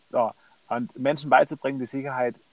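The sound of this medium-pitched man is dry and close, with no echo. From Stuttgart, Germany. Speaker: entrepreneur and author. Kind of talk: interview. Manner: hesitant with many fillers.

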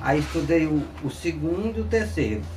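Speaking at a moderate pace, a man's voice carries an audible room echo. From rural Piauí, Brazil. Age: 50s. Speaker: interviewee, former farm worker. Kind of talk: interview testimony. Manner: halting.

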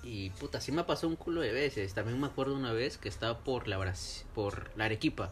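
Over music in the background, a man talks at a fairly quick pace with a medium pitch and lively intonation. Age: 20s. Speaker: podcast host. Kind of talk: casual chat.

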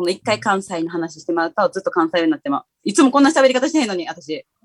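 Talking at a very fast pace with a strong Kansai accent, a woman with a medium pitch sounds animated, her pitch swinging very widely, in a dry, close sound with no echo. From Kansai, Himeji area. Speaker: DJ. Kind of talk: casual chat. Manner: animated, laughing often.

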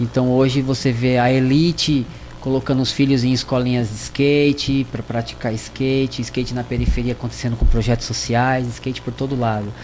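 A man at medium pitch speaks in a monotone, flat intonation at a moderate pace, with hardly any pauses. Noticeable background noise is present. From Brazil, São Paulo then interior city. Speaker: skateboarder. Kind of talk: casual radio interview.

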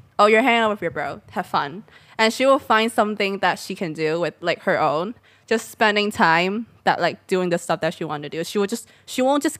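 A woman's medium pitch with lively intonation, a fairly quick pace and a Cantonese accent, in a very clean recording with a silent background. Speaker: podcast co-host. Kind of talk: casual chat.

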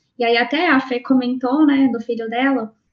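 This woman has a plain, everyday voice. Her pitch is fairly high and varies in an ordinary way. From Londrina, Paraná, Brazil. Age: 20s. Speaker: iOS developer, mother. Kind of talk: casual chat.

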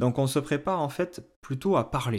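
The man's intonation is lively. The recording is very clean and the background silent. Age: 30s. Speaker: independent recruiter, podcast host. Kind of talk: solo podcast advice talk. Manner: hesitant, many fillers.

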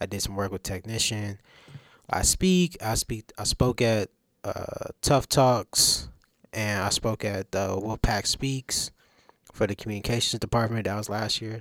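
Recorded dry and close with no echo, a man speaks at a fairly slow pace with a fairly low pitch and ordinary pitch variation. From US South, Durham, North Carolina. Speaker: college student. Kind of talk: casual chat.

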